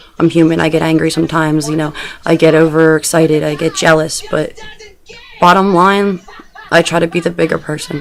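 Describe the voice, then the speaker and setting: A woman's fairly low voice at a fairly quick pace, with music in the background. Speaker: video blogger. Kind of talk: personal video diary. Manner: fast; animated.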